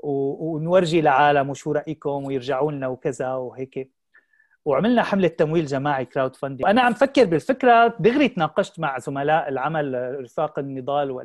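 A man with an unremarkable speaking voice, fairly high pitch, lively intonation, a moderate pace, hardly any pauses and a quiet background. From Syria. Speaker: founder of a children's channel; interview guest. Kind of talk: interview. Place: home room. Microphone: video call.

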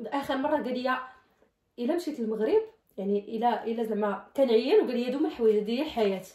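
A woman with a Moroccan accent speaks at a fairly quick pace in a high pitch with ordinary pitch variation, and the room echo is audible. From Morocco. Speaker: vlogger. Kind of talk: casual talk to camera. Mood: playful, laughing. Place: home room. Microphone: phone near.

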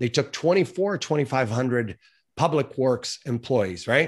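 An unremarkable speaking voice from a man at medium pitch, with lively intonation. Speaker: podcast host and marketing agency owner. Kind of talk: interview conversation.

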